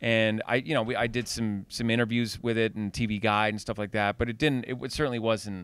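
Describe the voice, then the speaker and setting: The man's fairly quick speech comes through dry, with no echo. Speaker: voice actor. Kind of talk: casual interview chat. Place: home room. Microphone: handheld.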